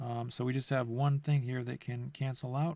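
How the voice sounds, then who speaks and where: A man with a medium pitch speaks in a monotone, flat intonation, somewhat breathy. The recording is very clean with a silent background. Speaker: math teacher. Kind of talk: lecture. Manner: halting.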